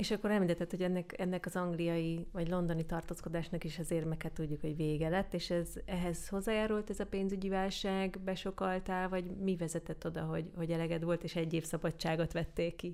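Delivered at a very fast pace with hardly any pauses, the woman's voice sits at a fairly low pitch. Her intonation is monotone and flat. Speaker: podcast host. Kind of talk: interview.

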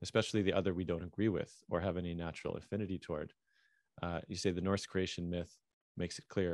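Against a quiet background, a man with a very deep, low pitch talks at a very fast pace in a monotone, flat intonation. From Canada. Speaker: podcast host. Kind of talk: casual interview conversation. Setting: video call.

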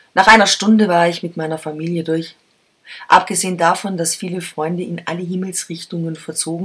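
A woman's fairly low-pitched voice, an ordinary speaking voice, with fairly even intonation. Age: 50s. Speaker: podcast host and columnist. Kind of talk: personal essay reading.

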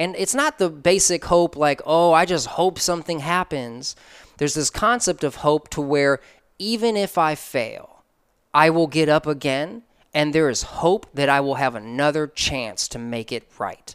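A man speaks fairly slowly in an unremarkable speaking voice, fairly high in pitch with ordinary variation. The recording is very clean with a silent background, and the sound is dry and close with no echo. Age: 30s. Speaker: creative entrepreneur and mentor. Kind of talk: casual interview.

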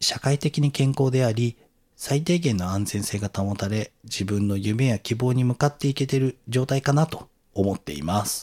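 A man speaks fairly slowly at a medium pitch in a normal speaking voice, his intonation lively. The recording is very clean with a silent background and a dry, close sound with no echo. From Tokyo. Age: 40s. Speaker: podcast host appearing as guest. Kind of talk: casual conversation. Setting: recording with guest's own equipment.

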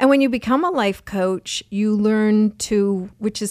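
An ordinary speaking voice with ordinary pitch variation comes through a dry, close sound with no echo on a very clean recording with a silent background. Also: woman. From Erie, Pennsylvania. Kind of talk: interview conversation.

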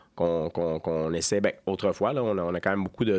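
A man against a quiet background. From Gaspésie, Quebec. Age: 40s. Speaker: microbrewery co-owner. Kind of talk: casual interview. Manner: halting, many repetitions.

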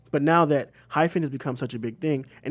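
In a very clean recording with a silent background, a man with an American accent talks at a fairly quick pace with ordinary pitch variation. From Missouri. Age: 20s. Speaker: podcast co-host, church young adult coordinator. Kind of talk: casual chat.

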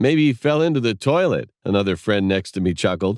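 A man talks at a fairly quick pace in a plain, everyday voice, pitched fairly low. His intonation is lively, and the recording is very clean with a silent background. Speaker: storyteller. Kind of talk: ghost story telling. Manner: suspenseful, hushed.

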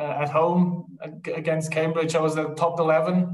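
A man with fairly high pitch and little pitch movement, at a moderate pace, in strong room echo

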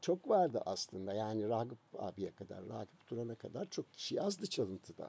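A man's medium-pitched voice with a dark, mellow tone, very wide pitch swings, a moderate pace and hardly any pauses. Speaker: music magazine founder. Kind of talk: casual interview.

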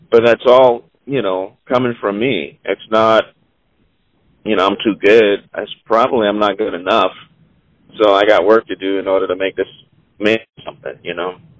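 A man with an American accent, fairly low pitch, moderate pace, and long, frequent pauses. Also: fairly even intonation. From Charleston, South Carolina. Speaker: jazz musician and producer. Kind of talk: interview. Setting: phone call while driving. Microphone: on speakerphone.

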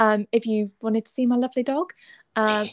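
With a British accent, a woman speaks at a fairly high pitch and a moderate pace, the sound dry and close with no echo. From UK. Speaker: podcast co-host. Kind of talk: casual chat.

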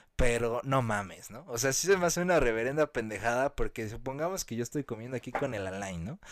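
In a very clean recording with a silent background, a man speaks at a medium pitch with an animated tone and lively intonation. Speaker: podcast co-host. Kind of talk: casual chat.

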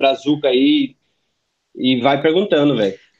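A man speaks at a fairly slow pace with a fairly high pitch and ordinary pitch variation. His is an unremarkable speaking voice. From Brazil. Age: 30s. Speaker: former exchange student, engineer. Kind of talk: casual chat.

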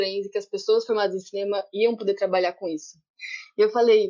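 This woman's voice has a dark, mellow tone at a medium pitch. She talks at a fairly quick pace. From interior of São Paulo state, Brazil. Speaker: community media worker and film festival producer. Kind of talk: video conference panel discussion. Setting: video call.

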